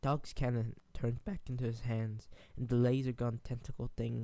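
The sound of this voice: A reading voice, unforced and natural-sounding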